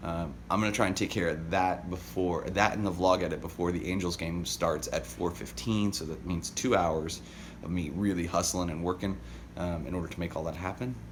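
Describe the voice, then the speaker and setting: There's audible room echo as a man with vocal fry speaks at a fairly quick pace in a very deep, low pitch. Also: ordinary pitch variation. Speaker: daily vlogger. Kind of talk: casual vlog monologue.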